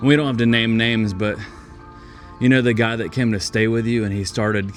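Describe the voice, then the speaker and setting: Music plays in the background as a man speaks at a medium pitch with fairly even intonation. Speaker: church podcast host. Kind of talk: casual interview questions. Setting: outdoors.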